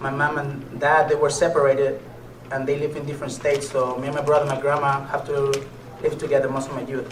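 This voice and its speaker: A man's fairly high voice with a Mexican accent, very fast and flat in monotone, amid noticeable background noise and audible room echo. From Mexico, Nayarit (near Puerto Vallarta). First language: Spanish. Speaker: motivational speaker and MMA fighter. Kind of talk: motivational speech.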